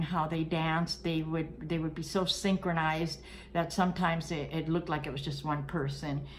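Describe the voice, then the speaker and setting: A woman's fairly low-pitched voice at a moderate pace, with audible room echo. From Cuba, then Brooklyn. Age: 60s. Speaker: vlogger. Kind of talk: personal storytelling. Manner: casual, hesitant with fillers.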